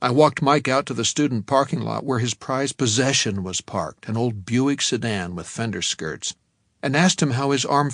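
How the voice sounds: The background is silent apart from the speaker. A natural reading voice carries ordinary pitch variation.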